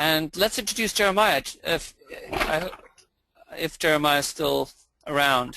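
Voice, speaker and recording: At a fairly slow pace, a man talks in a high pitch with a bright, sharp tone and ordinary pitch variation. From England. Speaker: philosophy teacher. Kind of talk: webinar introduction.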